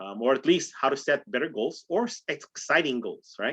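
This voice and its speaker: A man's voice over a quiet background. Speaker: real estate trainer. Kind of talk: training call. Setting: group call. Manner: fast. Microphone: video call.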